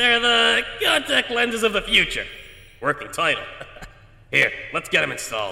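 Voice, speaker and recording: A man's put-on character voice, high-pitched for a man, with a slight echo. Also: moderate pace. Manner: fast, long-winded, nerdy, self-aware.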